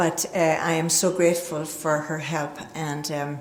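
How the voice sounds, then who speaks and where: There is audible room echo and noticeable background noise. A woman with an American accent talks in monotone, flat intonation. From Northern Ireland. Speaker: recovery speaker. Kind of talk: recovery testimony talk. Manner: hesitant fillers.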